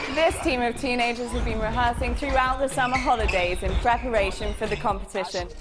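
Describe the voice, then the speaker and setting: With music in the background, a woman talks at a fairly quick pace with hardly any pauses. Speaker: TV and radio reporter. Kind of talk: news report to camera.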